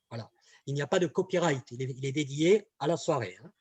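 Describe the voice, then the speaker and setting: A man with a southern French accent, in a dry, close recording with no echo. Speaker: communication trainer. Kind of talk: webinar presentation. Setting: online webinar. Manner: hesitant, many fillers and repetitions.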